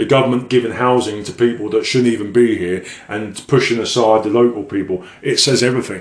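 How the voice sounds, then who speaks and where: Over noticeable background noise, a man speaks in an English accent at a moderate pace. His pitch is medium and his intonation fairly even. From England. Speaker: evangelist. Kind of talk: religious monologue.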